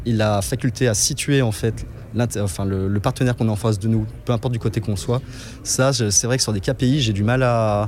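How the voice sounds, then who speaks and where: A man's ordinary speaking voice, fairly low in pitch, at a moderate pace with fairly even intonation. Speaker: event attendee asking a question. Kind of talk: recorded question at an event.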